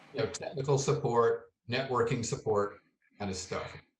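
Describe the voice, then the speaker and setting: A man speaks in a somewhat breathy voice. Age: 70s. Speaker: retired software developer. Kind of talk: interview answer.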